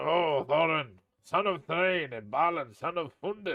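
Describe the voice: A man puts on a croaky character voice at a fairly high pitch. He speaks at a fairly slow pace.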